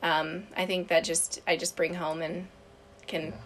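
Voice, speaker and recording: A woman with an American accent over noticeable background noise. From US Midwest. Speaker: travel podcast co-host. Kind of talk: casual round table chat.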